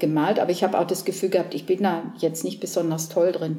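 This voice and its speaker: A woman speaks at a fairly quick pace in a fairly low pitch. Her voice is somewhat breathy, with a dark, mellow tone. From southern Germany. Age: 60s. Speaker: painter. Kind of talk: casual interview. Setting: artist's studio. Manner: hesitant, many fillers.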